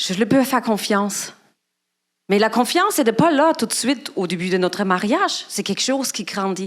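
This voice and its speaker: A woman with a German accent talks at a moderate pace, her fairly high pitch carried by lively intonation. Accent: foreign accent (German). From Germany. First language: German (speaking French). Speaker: guest speaker at church. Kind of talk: sermon. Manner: halting.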